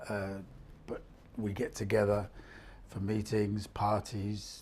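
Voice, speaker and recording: Very slowly, a man talks in a fairly low, somewhat breathy voice. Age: 60s. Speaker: freelance voluntary sector worker. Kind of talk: interview testimony. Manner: halting, many fillers.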